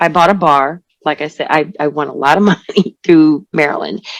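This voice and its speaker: A woman speaks at a moderate pace with a very deep, low pitch, vocal fry and fairly even intonation, in a dry, close sound with no echo. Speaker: singer. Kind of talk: interview answer. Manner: casual, hesitant.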